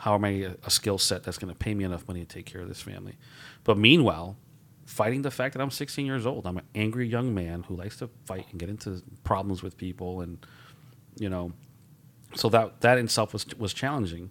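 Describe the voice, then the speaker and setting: A man speaks in a plain, everyday voice with fairly low pitch, ordinary pitch variation and big swings in loudness, on a very clean recording with a silent background. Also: fairly quick pace. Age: 40s. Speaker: director of veteran services, podcast co-host. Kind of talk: casual chat.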